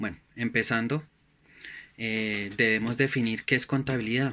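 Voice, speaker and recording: A man speaks at a medium pitch and a fairly slow pace, with monotone, flat intonation and a bright, sharp tone, in a very clean recording with a silent background. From Colombia, Bogotá. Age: 30s. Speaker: student, delivery driver. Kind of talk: student course reflection presentation. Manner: hesitant, many fillers.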